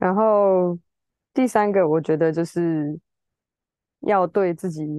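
Her pitch is fairly low for a woman. She talks at a fairly slow pace with fairly even intonation. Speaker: musician. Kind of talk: casual chat.

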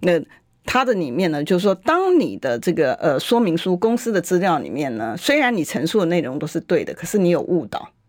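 A woman's fairly low voice with very wide pitch swings, an animated tone and a fairly quick pace. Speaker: legislator. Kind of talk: political talk radio interview. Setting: radio studio.

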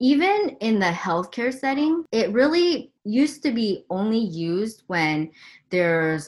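Fairly slow speech in a Californian accent on a very clean recording with a silent background. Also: woman. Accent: Californian American. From Southern California. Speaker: emergency physician. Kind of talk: interview.

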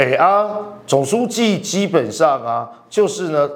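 This man has a high voice and an animated tone, with very wide pitch swings. His pace is fairly slow. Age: 50s. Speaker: political commentator. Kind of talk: political analysis talk show.

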